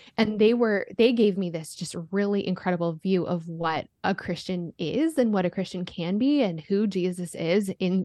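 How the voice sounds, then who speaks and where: In an American accent, a woman with an ordinary speaking voice talks at a moderate pace, her medium pitch showing ordinary variation. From US, Denver, Colorado suburb. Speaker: author and podcaster. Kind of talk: interview, testimony.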